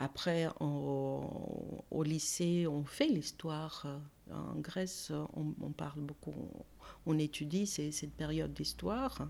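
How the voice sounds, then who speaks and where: The speaker has a Greek accent. The pace is very slow. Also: woman. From Greece, Athens. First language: Greek (speaking French). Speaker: art conservator-restorer. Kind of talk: interview conversation. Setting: her studio workspace. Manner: hesitant, many fillers.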